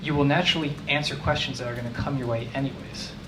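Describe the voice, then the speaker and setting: A man with an American accent, fairly high in pitch and at a fairly quick pace, with audible room echo and noticeable background noise. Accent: New Jersey, comes out when frustrated. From New Jersey. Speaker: tech manager. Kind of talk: conference talk. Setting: meetup talk with audience. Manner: fast; casual.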